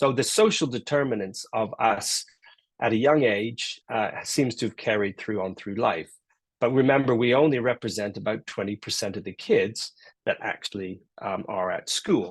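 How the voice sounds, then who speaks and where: Medium pitch from a man, an ordinary speaking voice with ordinary pitch variation and a moderate pace. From Canada. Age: 60s. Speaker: professor. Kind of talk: lecture.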